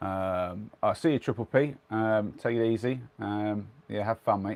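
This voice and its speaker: In a very clean recording with a silent background and a dry, close sound with no echo, a man speaks at a fairly low pitch, fairly slowly, with fairly even intonation. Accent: English. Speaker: vlogger. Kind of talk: casual chat. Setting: in a converted van.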